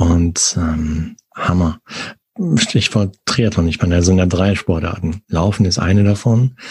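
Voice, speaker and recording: A man talks at a very slow pace with a very deep, low pitch. His voice is somewhat breathy, and his intonation stays fairly even. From Sauerland, western Germany. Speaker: podcast host. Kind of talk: casual interview.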